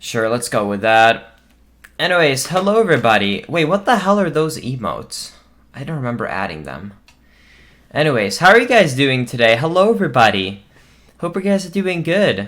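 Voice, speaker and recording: Fairly high pitch for a man, with very wide pitch swings and a moderate pace. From Sweden. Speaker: streamer. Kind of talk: casual live stream chat.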